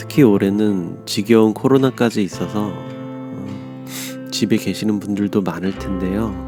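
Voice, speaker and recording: With music in the background, a man speaks at a fairly slow pace in a fairly low pitch, his intonation lively and his loudness swinging widely. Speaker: audiobook narrator. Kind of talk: casual talk to viewers.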